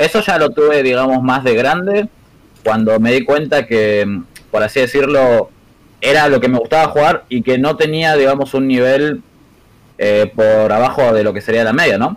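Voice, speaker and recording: This man has a normal speaking voice at a medium pitch. He keeps a moderate pace with ordinary pitch variation. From Argentina, Buenos Aires western suburbs. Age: 20s. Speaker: competitive gamer. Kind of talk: casual interview chat.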